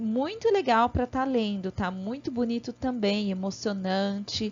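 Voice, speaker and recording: Ordinary pitch variation in a woman's fairly high-pitched voice. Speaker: primary school teacher. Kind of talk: online lesson for children.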